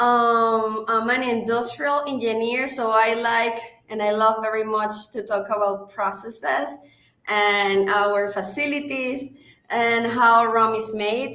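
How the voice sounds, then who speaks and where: Fairly slow, fairly even speech from a woman with a strong Venezuelan accent, her fairly high voice bright and sharp against audible room echo. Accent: thick Venezuelan Spanish. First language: Spanish. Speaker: marketing director. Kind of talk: live stream interview. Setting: online live stream.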